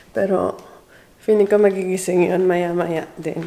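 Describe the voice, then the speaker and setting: With noticeable background noise behind her, a woman keeps a moderate pace. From Philippines. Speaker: vlogger. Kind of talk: casual vlog narration. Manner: lowered voice.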